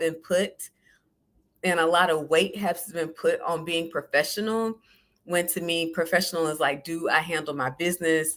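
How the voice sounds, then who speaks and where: A woman with an American accent speaks at a moderate pace in a bright, sharp tone, fairly low in pitch with ordinary pitch variation. The recording is very clean with a silent background. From US South, southern Georgia. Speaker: podcast host. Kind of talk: solo podcast talk.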